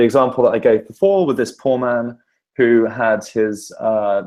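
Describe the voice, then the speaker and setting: Dark and mellow in tone, a man's voice sits at a medium pitch. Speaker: journalist teaching an online course. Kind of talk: online lecture. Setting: online session. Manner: fast.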